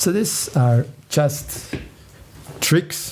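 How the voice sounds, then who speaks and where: At a very slow pace, a man with a non-native accent talks at a fairly high pitch with ordinary pitch variation over noticeable background noise. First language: not English. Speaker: spiritual musician. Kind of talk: talk on meditation. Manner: halting.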